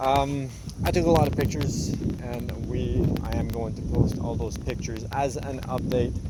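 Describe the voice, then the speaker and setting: Noticeable background noise accompanies this man's voice. The room adds audible echo as well. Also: moderate pace. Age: 30s. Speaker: vlogger, tradesman. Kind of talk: casual vlog. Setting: outdoors at job site.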